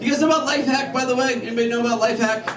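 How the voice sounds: Over clear background noise, a man talks at a very fast pace with an extremely high pitch. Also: fairly even intonation.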